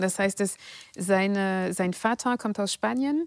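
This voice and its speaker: Her pitch is medium and varies in an ordinary way. The woman's sound is dry and close, with no echo. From France, near Paris. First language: French (speaking German). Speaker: political scientist and author. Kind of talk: interview. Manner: hesitant, many fillers.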